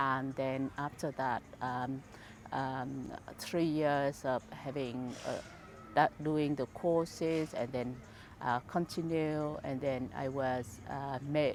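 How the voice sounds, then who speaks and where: A woman's very deep, low voice with a Vietnamese accent, very slow pace, and fairly even intonation. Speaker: charity founder. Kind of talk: interview. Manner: halting, many fillers.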